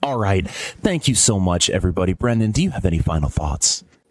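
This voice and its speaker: A breathy, put-on character voice moves at a fairly quick pace with lively intonation. Its loudness stays very even. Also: man, fairly low pitch for a man. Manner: soft, breathy, ASMR-style.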